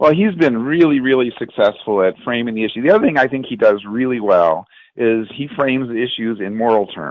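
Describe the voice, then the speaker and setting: A man with a normal speaking voice talks at a medium pitch and a fairly quick pace, with hardly any pauses. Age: 60s. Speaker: political activist, rally attendee. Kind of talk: political discussion.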